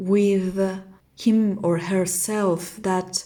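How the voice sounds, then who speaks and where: A woman speaks with a non-native accent. Her tone is dark and mellow. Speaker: tarot reader. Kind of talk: tarot reading. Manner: halting.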